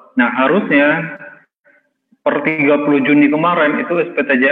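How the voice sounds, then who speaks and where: This man, pitched fairly high with ordinary pitch variation, keeps a moderate pace. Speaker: software trainer. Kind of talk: tutorial.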